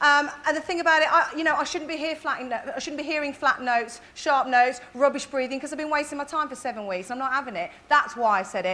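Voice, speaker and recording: A woman with a Birmingham accent speaks in a raised, projected voice at a high pitch. She goes at a very fast pace with hardly any pauses. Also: ordinary pitch variation. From Birmingham, England. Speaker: talent show judge and vocal coach. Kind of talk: judge's critique. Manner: blunt.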